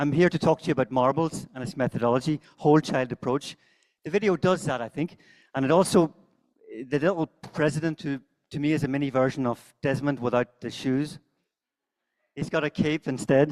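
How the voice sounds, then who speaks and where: A man with a strong Northern Irish accent and a fairly high pitch talks at a fairly quick pace between long, frequent pauses, the sound dry and close with no echo. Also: ordinary pitch variation. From Northern Ireland. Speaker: conference speaker, teacher trainer. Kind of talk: conference talk. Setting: stage with audience. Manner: fast.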